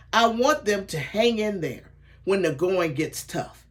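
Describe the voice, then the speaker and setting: A woman talks fairly slowly, her pitch swinging very widely. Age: 70s. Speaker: sales director and mentor. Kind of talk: training talk. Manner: enthusiastic, motivational.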